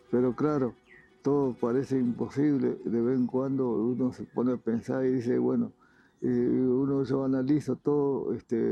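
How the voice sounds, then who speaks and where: A man's monotone, flat delivery at medium pitch and a fairly slow pace. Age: 80s+. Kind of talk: interview.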